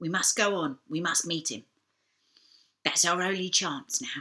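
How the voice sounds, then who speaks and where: A put-on character voice, raspy and female-sounding, at a middle pitch and a moderate pace. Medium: read story. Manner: brisk, plainspoken.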